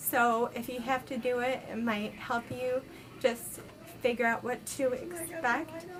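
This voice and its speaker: Over noticeable background noise, a woman with a high pitch talks at a fairly slow pace. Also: ordinary pitch variation. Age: 20s. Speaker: vlogger with multiple sclerosis. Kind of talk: casual video diary. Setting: hospital room. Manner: hesitant, many ums.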